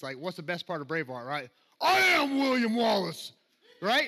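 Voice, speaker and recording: In a Southern US accent, a man speaks in a raised, projected voice with an animated tone and very wide pitch swings against a quiet background. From US South. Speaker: preacher. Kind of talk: sermon. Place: church.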